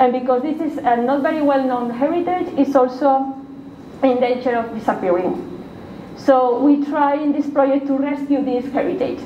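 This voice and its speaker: A woman with a Spanish accent speaks at a moderate pace in a high pitch, her intonation fairly even, with audible room echo and light background noise. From Spain, Valencia; Spain. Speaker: university researcher and lecturer; lecturer. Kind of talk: lecture. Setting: stage with audience. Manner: halting. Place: meeting room. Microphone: camera far.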